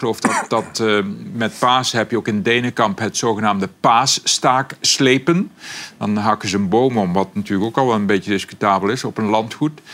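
A man with a Brabant accent at a moderate pace. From Brabant, southern Netherlands. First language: Brabant dialect (speaking Dutch). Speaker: language expert. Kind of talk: casual chat.

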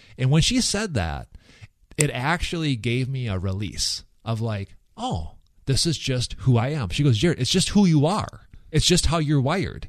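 Against a quiet background, a man at a medium pitch talks at a moderate pace with very wide pitch swings. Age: 40s. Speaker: podcast co-host. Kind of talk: casual faith-based podcast conversation. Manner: halting, frequent repeated words and fillers.

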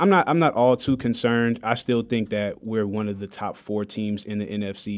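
A man with an American accent talks at a fairly quick pace in a fairly low pitch, with ordinary pitch variation and an ordinary speaking voice. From Detroit, Michigan. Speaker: promotions manager, sports fan guest. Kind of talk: sports talk radio chat.

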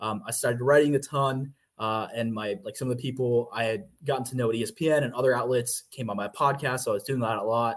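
A plain, everyday voice from a man with an American accent, medium in pitch with ordinary pitch variation, at a fairly quick pace on a very clean recording with a silent background. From US South, Georgia. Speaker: sports beat writer. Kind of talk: casual interview.

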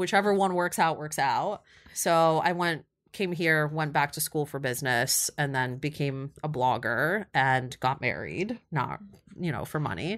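With an American accent, a woman speaks at a fairly slow pace in a very deep, low pitch with ordinary pitch variation, on a very clean recording with a silent background. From Ukraine, Kyiv; teen years in Ohio. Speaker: influencer marketing agency founder. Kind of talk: interview.

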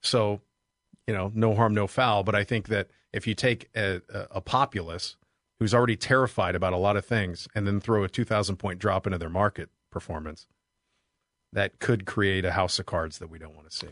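A man with a fairly low pitch speaks at a fairly quick pace with an ordinary speaking voice and fairly even intonation, though his loudness swings widely. The sound is dry and close with no echo over a quiet background. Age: 40s. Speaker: financial advisor. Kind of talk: radio talk show. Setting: studio.

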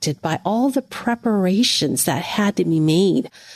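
This is an unforced reading voice. It is delivered in an unforced reading voice throughout.

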